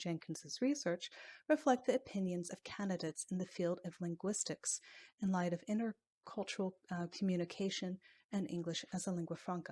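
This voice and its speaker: A woman's ordinary speaking voice, medium in pitch, at a moderate pace, in a very clean recording with a silent background. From United States. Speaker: English language instructor and graduate student. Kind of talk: academic presentation. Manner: formal.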